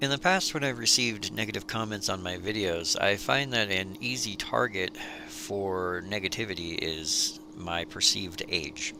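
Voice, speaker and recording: With lively intonation, a man talks at a moderate pace and fairly low pitch, with hardly any pauses. Noticeable background noise runs underneath. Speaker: DIY video creator. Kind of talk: tutorial; personal story.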